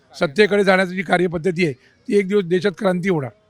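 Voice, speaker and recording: The man's voice is high-pitched and shows ordinary pitch variation. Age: 80s+. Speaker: senior citizen interviewed on politics. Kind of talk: street interview. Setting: outdoors in a public garden.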